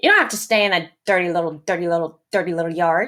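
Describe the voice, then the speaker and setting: In a put-on character voice, a female-sounding speaker talks at a very fast pace with fairly low pitch. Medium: read story. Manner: fast, repeats her words.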